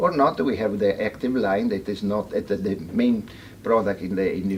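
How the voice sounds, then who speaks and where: This man's delivery moves at a moderate pace. His intonation stays fairly even. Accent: Italian. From Italy. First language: Italian. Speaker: veterinarian. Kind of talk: seminar talk. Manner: halting.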